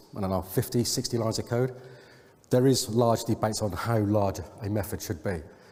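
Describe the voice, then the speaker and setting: A somewhat breathy man speaks with an English accent. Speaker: software consultant. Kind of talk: conference talk. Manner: fast.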